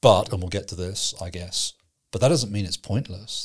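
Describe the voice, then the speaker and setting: A man speaks at a fairly quick pace in a fairly low, somewhat breathy voice. His pitch variation is ordinary, and the recording is very clean with a silent background. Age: 50s. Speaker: pastor and theology trainer. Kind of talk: casual theological discussion.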